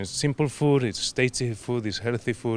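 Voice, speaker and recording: Here a man speaks with a Spanish accent at a medium pitch. His pace is moderate and his intonation fairly even. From Argentina, Patagonia. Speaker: restaurant owner. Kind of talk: interview. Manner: halting.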